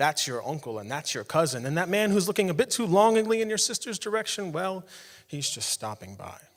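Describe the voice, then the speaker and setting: Moving at a fairly quick pace, this man's voice swings very widely in pitch. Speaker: spoken word poet. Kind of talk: spoken word poetry performance on stage. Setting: live stage in front of an audience.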